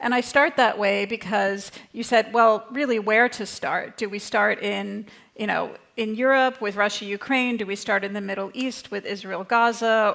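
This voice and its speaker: A woman speaks in an unremarkable speaking voice with a North American accent, at a medium pitch. Her pace is moderate and her intonation fairly even. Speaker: think tank director, panelist. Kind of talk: conference panel talk.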